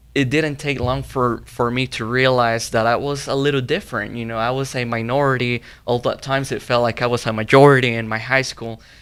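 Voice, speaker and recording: A man's medium-pitched voice with a Spanish accent, moderate pace and monotone, flat intonation. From Mexico, Zacatecas. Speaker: young professional guest. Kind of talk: panel interview. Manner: halting, many fillers and repeats.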